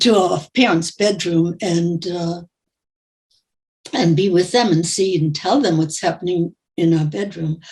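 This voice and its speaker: Somewhat breathy, a woman speaks at a fairly slow pace with long, frequent pauses. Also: fairly low pitch for a woman, ordinary pitch variation. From Germany. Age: 90s. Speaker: Holocaust survivor. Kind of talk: testimony.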